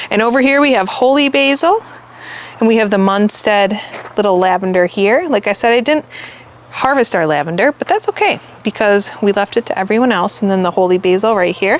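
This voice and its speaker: A woman's medium-pitched voice with a Midwestern accent, lively intonation, a fairly quick pace and very even loudness. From US Midwest. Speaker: gardener and channel host. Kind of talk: garden tour walkthrough. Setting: outdoors in the garden. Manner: casual, chatty.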